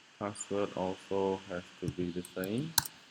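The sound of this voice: Pitched low, a man talks at a fairly slow pace with a slightly mellow tone and fairly even intonation.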